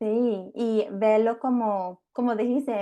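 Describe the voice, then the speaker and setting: A woman speaks very slowly in a dark, mellow tone at a medium pitch, her intonation fairly even against a quiet background. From England. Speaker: family lawyer and podcast host. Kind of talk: interview. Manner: halting.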